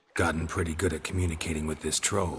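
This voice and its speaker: Putting on a cartoonish character voice, a man speaks very fast in a very deep, low pitch with monotone, flat intonation. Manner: flat, deadpan, terse.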